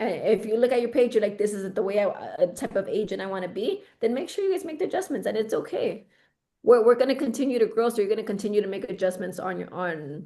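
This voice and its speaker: A woman talks loudly at a very fast pace in a fairly high pitch. Her tone is dark and mellow, and her intonation is lively. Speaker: real estate team leader. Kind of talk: team coaching meeting. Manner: excited.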